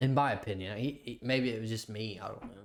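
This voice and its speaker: Here a man speaks at a fairly quick pace. His pitch is medium. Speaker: podcast co-host. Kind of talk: casual chat. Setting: home recording. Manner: halting.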